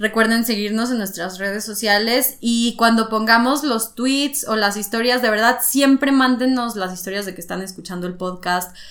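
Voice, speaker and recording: A woman's fairly high voice with ordinary pitch variation, at a moderate pace with hardly any pauses, over noticeable background noise. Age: 20s. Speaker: podcast host. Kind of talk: casual chat.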